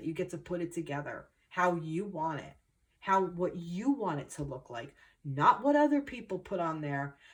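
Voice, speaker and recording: A woman speaks in a New Jersey accent with an animated tone. Her pace is fairly quick. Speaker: tarot reader. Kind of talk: spiritual reading monologue.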